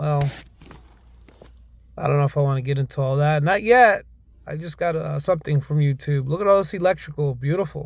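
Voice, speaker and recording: This speaker has an American accent, ordinary pitch variation and a somewhat breathy sound. The delivery is fairly quick, broken by long, frequent pauses. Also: man, fairly high pitch for a man. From northern US city. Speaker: home inspector. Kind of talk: casual narrated walkthrough. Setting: crawl space. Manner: halting, repeats words.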